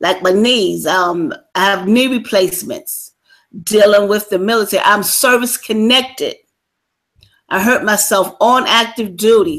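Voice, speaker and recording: A woman with a plain, everyday voice, fairly high pitch and ordinary pitch variation. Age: 60s. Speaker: military veteran. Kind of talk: interview.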